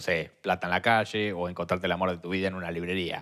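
With a Rioplatense accent, a man talks at a very fast pace on a very clean recording with a silent background. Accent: Argentine Spanish (rioplatense). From Argentina. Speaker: podcast co-host. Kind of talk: casual chat.

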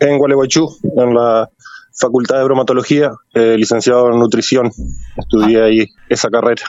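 A man at a medium pitch and fairly quick pace, with fairly even intonation, very even loudness, and long, frequent pauses. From Argentina, Entre Ríos (San Salvador). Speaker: painter. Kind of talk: radio interview. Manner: halting, repetitive.

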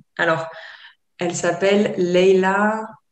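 There is audible room echo around this voice. A woman speaks at a medium pitch. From France, Côte d'Azur. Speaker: yoga teacher and therapist. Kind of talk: interview. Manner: hesitant, many fillers.

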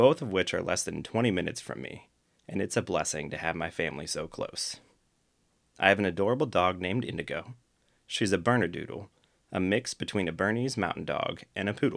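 In a Midwestern American accent, a man speaks at a fairly low pitch and fairly quick pace. His intonation is lively, and the recording is very clean with a silent background. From US Midwest, Akron, Ohio. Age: 30s. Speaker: podcast host. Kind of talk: solo monologue, scripted talk.

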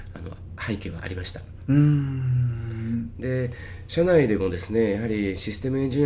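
The pitch varies in an ordinary way. Room echo can be heard. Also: man. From Tokyo, Itabashi. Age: 50s. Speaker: healer. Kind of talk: interview. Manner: clear, easy to follow.

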